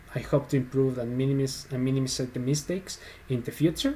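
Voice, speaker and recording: A man's medium-pitched voice with a Spanish accent, a dark, mellow tone and fairly even intonation. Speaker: software developer, tutorial YouTuber. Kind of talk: tutorial. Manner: halting, hesitant.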